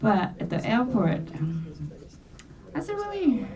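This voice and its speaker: With a Korean accent, a woman speaks fairly slowly amid noticeable background noise and audible room echo. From South Korea. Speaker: domestic violence survivor. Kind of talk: testimony. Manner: halting.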